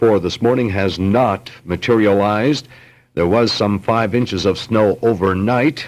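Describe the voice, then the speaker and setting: A man with a normal speaking voice and fairly low pitch talks at a fairly slow pace with fairly even intonation on a very clean recording with a silent background. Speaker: local radio newsman. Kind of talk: local radio news report. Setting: radio studio.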